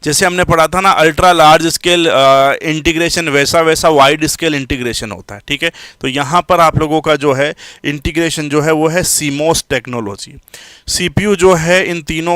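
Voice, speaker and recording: A man's fairly high voice with a bright, sharp tone and ordinary pitch variation, in a dry, close sound with no echo. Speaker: computer science teacher. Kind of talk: live online lecture. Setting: live stream class. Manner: loud.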